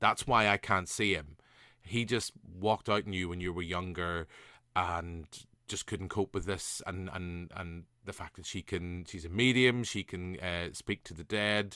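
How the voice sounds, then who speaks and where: Speaking fairly slowly with a Northern Irish accent, a man has a very deep, low pitch and a bright, sharp tone. His intonation is fairly even, his loudness swings widely, and the sound is dry and close with no echo over a quiet background. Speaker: podcast host. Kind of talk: casual podcast conversation.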